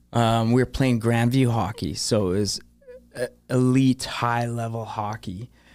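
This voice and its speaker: Over noticeable background noise, a man at medium pitch speaks with fairly even intonation. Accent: Canadian. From Thunder Bay, Ontario, Canada. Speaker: home inspector. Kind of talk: casual chat. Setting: studio.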